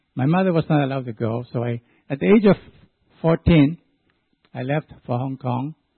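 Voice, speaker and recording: With a Chinese accent and a fairly high pitch, a man speaks at a moderate pace, showing ordinary pitch variation and long, frequent pauses. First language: Chinese dialect. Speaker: church deacon. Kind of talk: testimony.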